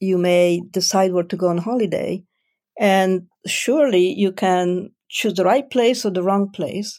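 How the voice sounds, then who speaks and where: A dark, mellow tone with an Italian accent, at a fairly slow pace with ordinary pitch variation, on a very clean recording with a silent background. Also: woman. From Italy. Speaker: life coach. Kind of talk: interview.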